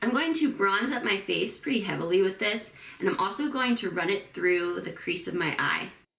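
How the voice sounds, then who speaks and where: With noticeable background noise and audible room echo, a woman speaks at a moderate pace. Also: medium pitch for a woman, lively intonation. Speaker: beauty and book vlogger. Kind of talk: get ready with me tutorial. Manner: casual, chatty.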